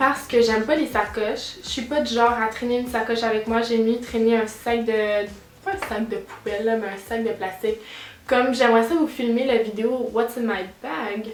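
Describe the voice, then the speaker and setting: A woman's fairly high voice at a moderate pace, with ordinary pitch variation, noticeable background noise and audible room echo. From Quebec. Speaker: beauty vlogger. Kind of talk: casual vlog monologue.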